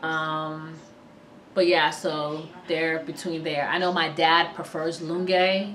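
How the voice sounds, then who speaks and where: A woman in an American accent, very deep and low, monotone and flat at a fairly slow pace, with audible room echo and noticeable background noise. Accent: sounds American-born. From Sierra Leone until age 7, raised in US. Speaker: vlogger. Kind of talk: casual vlog talk. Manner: casual, frequent fillers.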